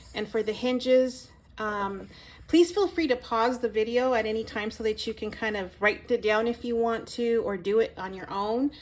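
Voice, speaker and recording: Ordinary pitch variation at a moderate pace. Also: woman, fairly high pitch for a woman. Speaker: crafter. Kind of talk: tutorial. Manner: halting.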